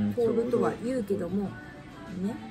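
The speaker is soft-spoken, with ordinary pitch variation. Music plays in the background. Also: woman. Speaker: shrine guide. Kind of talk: casual explanatory talk. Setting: cafe with background music. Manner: quiet, soft-spoken. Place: cafe. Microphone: phone near.

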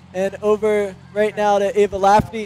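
A man speaks at a fairly slow pace with a high pitch. Crowd noise sits in the background, and the sound is dry with no echo. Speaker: student sports commentator. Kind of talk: commentary.

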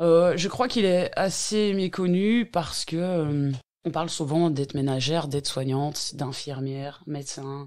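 Very deep, low pitch from a woman at a fairly slow pace, with ordinary pitch variation and a very clean recording on a silent background. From Belgium, Hainaut (Tournai area). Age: 40s. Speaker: home care worker. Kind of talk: interview. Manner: hesitant, many fillers.

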